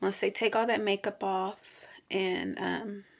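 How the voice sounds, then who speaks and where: On a very clean recording with a silent background, a woman speaks at a fairly slow pace and a medium pitch. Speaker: vlogger. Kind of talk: casual vlog monologue. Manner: many filler 'um's, hesitant.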